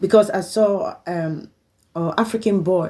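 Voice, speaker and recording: A woman speaks with a dark, mellow tone. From Liberia. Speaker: vlogger. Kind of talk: personal appeal monologue. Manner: halting.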